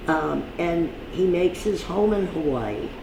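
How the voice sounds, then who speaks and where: A woman with a fairly low pitch and lively intonation speaks at a very slow pace over noticeable background noise. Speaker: television host. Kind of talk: reading old press clippings aloud.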